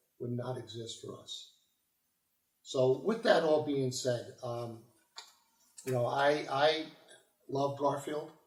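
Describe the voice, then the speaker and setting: A man's fairly high voice at a fairly slow pace, with fairly even intonation and audible room echo. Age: 60s. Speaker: city council candidate and local politician. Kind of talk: campaign speech. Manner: halting, with many fillers.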